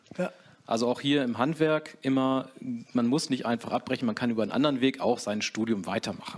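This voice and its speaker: Speaking at a fairly quick pace, a man uses an unremarkable speaking voice at medium pitch. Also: ordinary pitch variation. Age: 40s. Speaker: co-managing director of a trade business. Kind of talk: interview.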